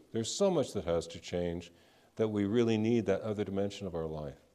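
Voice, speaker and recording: A man talks at a fairly quick pace with a fairly low pitch. His voice has a dark, mellow tone and ordinary pitch variation. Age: 70s. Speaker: Buddhist minister. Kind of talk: sermon. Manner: conversational, informal.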